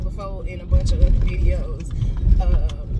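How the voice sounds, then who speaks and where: A woman's voice against loud background noise. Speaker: motivational vlogger. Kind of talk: casual vlog chat. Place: car. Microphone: phone near.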